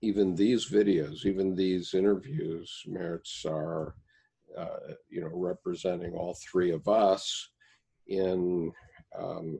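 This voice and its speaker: Very deep and low, this man's voice has a dark, mellow tone. He speaks at a very slow pace with fairly even intonation. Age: 70s. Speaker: Jungian commentator and reading group founder. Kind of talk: casual chat.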